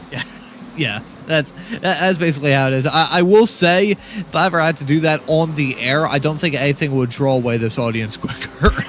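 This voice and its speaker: Noticeable background noise beneath a man talking at a fairly quick pace, his pitch fairly high with ordinary pitch variation. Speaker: sim racing commentator. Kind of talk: live commentary. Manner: halting.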